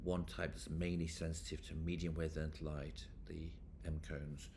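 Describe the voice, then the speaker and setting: Audible room echo surrounds a man with a very deep, low pitch. He sounds somewhat breathy and keeps a moderate pace. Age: 60s. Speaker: professor. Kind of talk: lecture.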